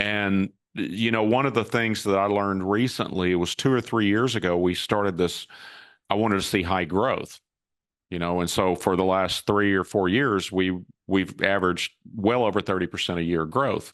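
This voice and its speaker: A man speaks at a moderate pace in a plain, everyday voice, with fairly even intonation and a quiet background. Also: fairly low pitch for a man. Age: 60s. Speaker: cybersecurity company founder and CEO. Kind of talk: interview.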